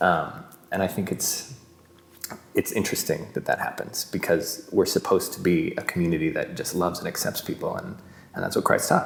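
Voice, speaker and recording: A man in an American accent, at a fairly quick pace, with noticeable background noise. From Utah. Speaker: actor. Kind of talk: interview testimony. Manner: hesitant with fillers and repetitions.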